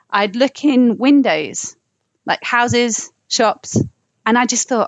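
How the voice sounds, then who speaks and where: A woman's high-pitched voice with an American accent. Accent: southern English, slight American tinge. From London. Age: 20s. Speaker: singer-songwriter and filmmaker. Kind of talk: casual interview chat.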